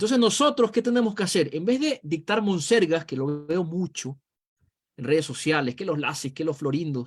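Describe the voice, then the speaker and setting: A man's high-pitched voice with lively intonation. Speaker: political analyst. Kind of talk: video call interview.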